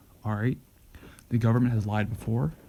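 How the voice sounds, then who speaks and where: Speaking at a fairly quick pace, a man has a medium-pitched, dark and mellow voice that is somewhat breathy. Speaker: show host. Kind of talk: monologue. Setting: at home. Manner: halting; soft-spoken.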